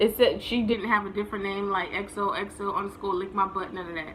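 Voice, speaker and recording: With an American accent, a woman speaks at medium pitch in an animated, bright, sharp tone, with audible room echo. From New Jersey. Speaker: vlogger. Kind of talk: casual storytelling.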